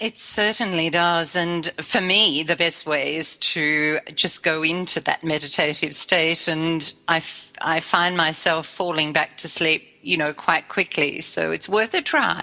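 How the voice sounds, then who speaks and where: A woman with an Australian accent speaks in a fairly low pitch at a fairly slow pace. She takes hardly any pauses over noticeable background noise. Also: fairly even intonation. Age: 60s. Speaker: spiritual life coach, musician. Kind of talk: interview.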